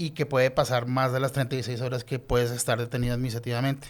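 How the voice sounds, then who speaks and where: Medium-pitched male voice with a Colombian accent, on a very clean recording with a silent background. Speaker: lawyer and doctoral researcher. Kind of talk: podcast interview.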